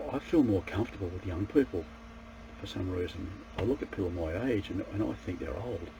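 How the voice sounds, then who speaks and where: At a fairly quick pace, a man with a very deep, low pitch speaks in very wide pitch swings. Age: 60s. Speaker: martial arts practitioner and self-improvement vlogger. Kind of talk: casual monologue to camera. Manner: halting, with repeated false starts.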